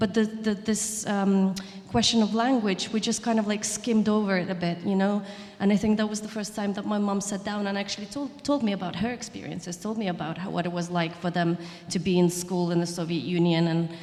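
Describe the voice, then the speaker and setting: A woman speaks at a fairly quick pace in a Russian accent, her pitch medium and her intonation fairly even. Noticeable background noise runs behind her. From southern Ukraine. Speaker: chef and writer. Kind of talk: panel discussion. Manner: halting, many restarts.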